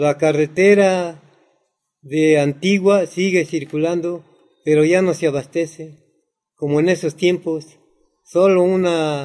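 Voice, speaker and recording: At a very slow pace, a man talks at a fairly high pitch with a dark, mellow tone and fairly even intonation. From Mexico City, Xochimilco. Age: 70s. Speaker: farmer. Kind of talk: interview.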